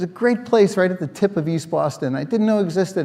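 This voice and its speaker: A man talks at a very fast pace, his tone dark and mellow and his intonation lively. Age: 60s. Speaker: former political candidate, human services worker. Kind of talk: personal story talk. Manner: halting, many fillers.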